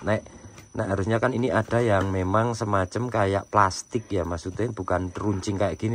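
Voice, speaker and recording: Speaking at a very fast pace, a man keeps his fairly low pitch in fairly even intonation. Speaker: goat breeder. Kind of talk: farm tutorial. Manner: hesitant, many fillers.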